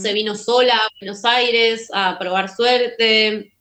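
A woman's fairly high voice at a very slow pace. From Argentina. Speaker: filmmaker. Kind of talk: interview. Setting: remote call.

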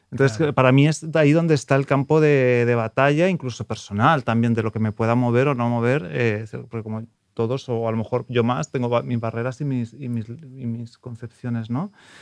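Against a quiet background, a man with an ordinary speaking voice talks at a medium pitch and a fairly quick pace, with ordinary pitch variation. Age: 30s. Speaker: prospective adoptive parent. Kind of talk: interview.

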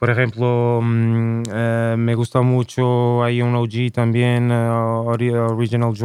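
Flat, monotone delivery from a man at medium pitch, on a very clean recording with a silent background. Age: 30s. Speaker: rapper. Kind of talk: casual chat.

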